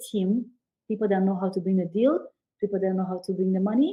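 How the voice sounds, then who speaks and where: A somewhat breathy voice with a European accent. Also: woman. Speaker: business credit expert, commercial real estate broker. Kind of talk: podcast interview.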